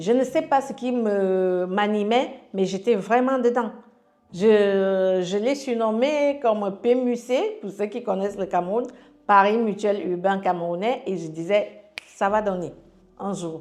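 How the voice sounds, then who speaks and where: The pace of this woman's speech is very slow. Her pitch is medium, with ordinary pitch variation. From Cameroon, Yaoundé. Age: 40s. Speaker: life coach sharing her story. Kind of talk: testimony. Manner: halting.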